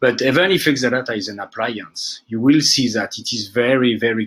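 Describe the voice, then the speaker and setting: A man with a French accent talks at a fairly quick pace, at medium pitch with ordinary variation. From France. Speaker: database administrator. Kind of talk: technical conference talk. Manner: casual, with fillers.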